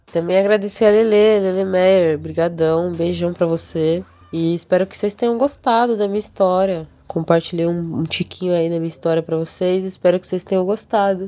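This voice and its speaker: Background noise is clearly audible here. Over it, a woman talks fairly quickly. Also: medium pitch for a woman, fairly even intonation. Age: 20s. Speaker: bassist and singer. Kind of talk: casual interview chat.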